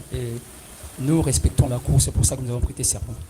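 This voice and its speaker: A man speaks loudly at a fairly quick pace and medium pitch, with very wide pitch swings. Background noise is noticeable. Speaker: defense lawyer. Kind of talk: courtroom pleading. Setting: courtroom. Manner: formal.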